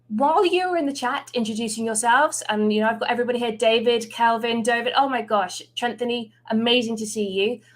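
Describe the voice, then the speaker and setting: A woman talks at a fairly quick pace. She speaks in an English accent. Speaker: recruiting team lead. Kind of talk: livestream presentation.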